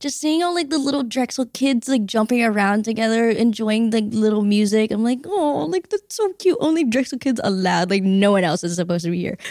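Talking at a fairly quick pace with hardly any pauses, a woman uses a fairly high pitch that swings very widely, over noticeable background noise. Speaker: student podcast host. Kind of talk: casual interview.

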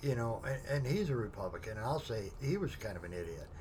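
Fairly slow, medium-pitched male speech in a room with audible echo. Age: 50s. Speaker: military veteran. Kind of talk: casual chat. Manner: halting.

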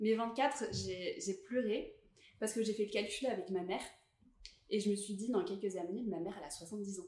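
In a room with audible echo, a woman speaks at medium pitch and a moderate pace, somewhat breathy, with ordinary pitch variation and long, frequent pauses. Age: 20s. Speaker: podcast guest, creative professional. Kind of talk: casual chat.

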